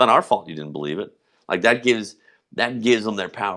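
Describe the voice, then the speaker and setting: Against a quiet background, a man talks at a very fast pace in an animated tone with ordinary pitch variation. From US South, Memphis, Tennessee. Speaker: livestream host. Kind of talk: casual livestream monologue. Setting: livestream.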